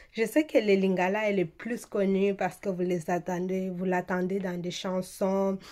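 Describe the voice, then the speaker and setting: A woman speaks with a Swahili accent at a medium pitch, her tone dark and mellow. Her intonation stays fairly even, and her pace is fairly slow. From eastern DR Congo. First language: Swahili (speaking French). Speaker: beauty vlogger. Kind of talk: casual vlog talk. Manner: hesitant, many fillers.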